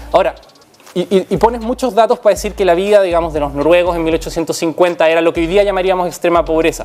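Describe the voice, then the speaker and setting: With a Chilean accent, a high-pitched man talks with ordinary pitch variation against noticeable background noise. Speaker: sociologist in debate. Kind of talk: debate.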